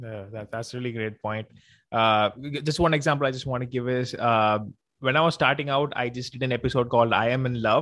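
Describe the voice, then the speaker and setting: A man speaks at a fairly quick pace and medium pitch. His intonation stays fairly even against a quiet background. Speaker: podcast host. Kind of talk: casual interview. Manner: talkative.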